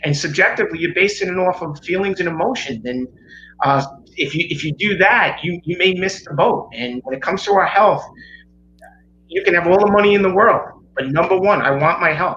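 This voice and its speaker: A man in a New York accent talks with a high pitch at a fairly quick pace. His pitch variation is ordinary, with noticeable background noise behind him. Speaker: chiropractor. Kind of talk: interview explanation.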